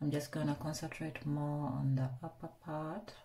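Somewhat breathy, a woman speaks at a fairly slow pace in a dark, mellow tone with a very deep, low pitch. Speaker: beauty vlogger. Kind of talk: makeup tutorial chat. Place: bathroom. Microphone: phone near.

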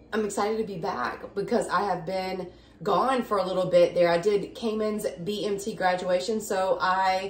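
Audible room echo surrounds a woman whose intonation stays fairly even. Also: moderate pace. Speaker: home vlogger. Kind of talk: casual vlog chat. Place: kitchen. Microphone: phone near.

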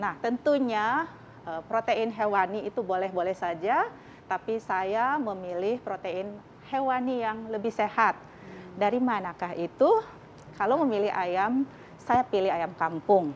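Over light background noise, a woman with a plain, everyday voice speaks fairly slowly at a fairly high pitch with ordinary pitch variation. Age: 50s. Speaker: doctor; TV guest. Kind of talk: talk show interview. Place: studio.

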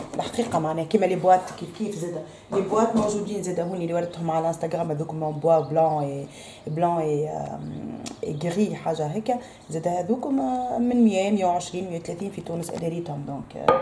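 In a plain, everyday voice, a woman talks at a fairly low pitch with ordinary pitch variation and a moderate pace over light background noise. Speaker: home vlogger. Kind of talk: casual vlog chat. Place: kitchen. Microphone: phone near.

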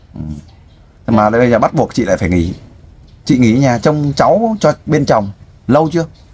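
At a moderate pace, a man speaks at a medium pitch, with long, frequent pauses. His loudness stays very even while his pitch swings very widely. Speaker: volunteer interviewer. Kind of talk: interview about a personal family story.

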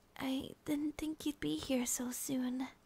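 Soft-spoken, the speaker goes along at a very slow pace. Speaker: roleplay voice actor as girlfriend. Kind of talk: ASMR roleplay monologue. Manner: soft, drowsy ASMR girlfriend voice.

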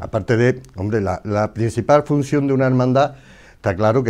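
A man with a plain, everyday voice, a moderate pace, and ordinary pitch variation. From Andalusia. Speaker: religious image carver; interviewee. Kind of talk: casual interview. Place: studio. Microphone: lapel.

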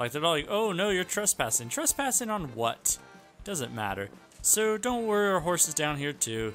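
A high-pitched man with very wide pitch swings, music in the background. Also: moderate pace. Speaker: gaming YouTuber. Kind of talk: casual gameplay commentary.

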